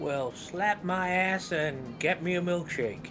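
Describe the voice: Over loud background noise, a man does a put-on character voice, pitched high and delivered at a fairly slow pace.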